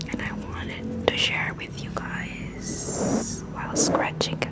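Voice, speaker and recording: Whispering against noticeable background noise. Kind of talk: casual talk to camera. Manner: whispered, soft.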